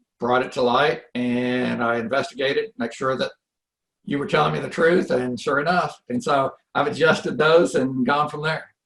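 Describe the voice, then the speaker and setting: Here is a man with an ordinary speaking voice. His pitch is medium, with ordinary pitch variation. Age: 60s. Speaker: real estate investor. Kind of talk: interview. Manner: conversational, with filler words.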